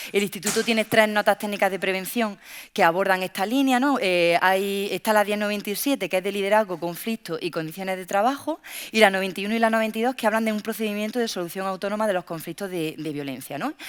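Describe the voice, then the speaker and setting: The speech comes at a very fast pace with ordinary pitch variation. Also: woman, medium pitch for a woman. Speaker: workplace safety researcher. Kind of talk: panel talk.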